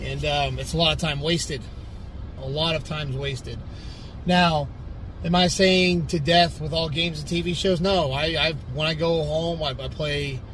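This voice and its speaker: In a room with audible echo, a man with a fairly high pitch speaks at a moderate pace in a flat, monotone way. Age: 30s. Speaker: bodybuilder and personal trainer. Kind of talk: casual motivational monologue.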